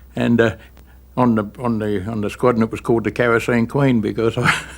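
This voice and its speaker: The speaker has an Australian accent. He is a man talking at a moderate pace. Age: 70s. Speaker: war veteran. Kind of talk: testimony.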